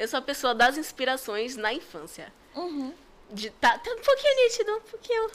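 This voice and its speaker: A woman speaks at a high pitch. Her voice makes very wide pitch swings. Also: moderate pace. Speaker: costume character performer and event entrepreneur. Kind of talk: casual chat. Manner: animated.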